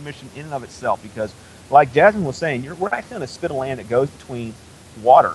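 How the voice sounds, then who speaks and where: Over noticeable background noise, a man with a fairly high voice talks very fast with lively intonation and big swings in loudness. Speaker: space news reporter. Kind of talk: live launch commentary. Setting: outdoors on a causeway.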